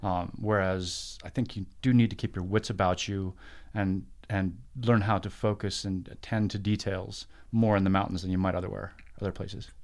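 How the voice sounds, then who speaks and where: On a very clean recording with a silent background, a man with a fairly low pitch speaks at a moderate pace in a monotone, flat way. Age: 50s. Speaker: former soldier, civilian professional. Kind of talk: casual chat.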